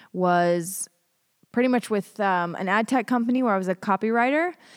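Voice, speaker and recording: A woman with an American accent and a normal speaking voice talks at a moderate pace with fairly even intonation, in a very clean recording with a silent background and a dry, close sound with no echo. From US, Colorado. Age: 30s. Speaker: tech industry writer. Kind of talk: podcast interview. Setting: studio.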